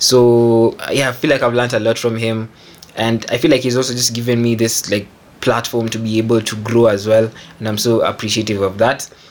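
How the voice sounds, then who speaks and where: In a monotone, flat intonation, a man talks at a fairly quick pace. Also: medium pitch for a man. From Kenya. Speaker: music producer. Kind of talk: casual chat. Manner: halting, many fillers.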